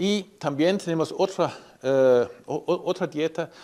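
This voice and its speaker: A very slow voice with a non-native accent, in a very clean recording with a silent background. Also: man. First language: not Spanish (speaking Spanish). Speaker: animal science professor. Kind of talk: technical presentation. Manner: halting, many fillers.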